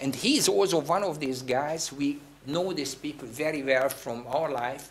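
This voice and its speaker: Amid noticeable background noise, a man with a fairly high pitch talks at a fairly slow pace. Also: ordinary pitch variation. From Hungary. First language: Hungarian. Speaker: theatre director. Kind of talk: guest talk. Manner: halting.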